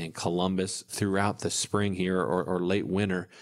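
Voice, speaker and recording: A man speaks at a fairly low pitch with a slight Southern US accent. The recording is very clean with a silent background. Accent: slight Southern US drawl. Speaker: financial advisor and radio show host. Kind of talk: casual radio talk show chat. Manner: mumbles; slight twang, can slur.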